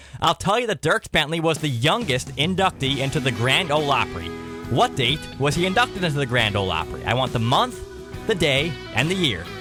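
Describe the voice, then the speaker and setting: Over music in the background, a man speaks at a fairly quick pace in an upbeat tone, his fairly high voice making very wide pitch swings. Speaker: country radio DJ. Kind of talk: radio show host patter and contest calls. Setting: radio studio. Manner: upbeat, friendly.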